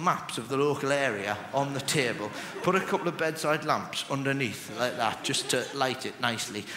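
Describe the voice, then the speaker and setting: Noticeable background noise is present as a man speaks at a moderate pace. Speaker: stand-up comedian. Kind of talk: stand-up comedy routine. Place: stage. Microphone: headset.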